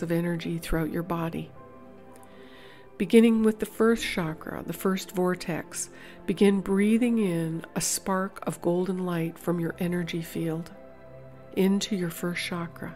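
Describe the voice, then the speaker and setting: Fairly slow, fairly low-pitched female speech with fairly even intonation, music in the background. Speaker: meditation guide. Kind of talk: guided meditation. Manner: slow, soft-spoken.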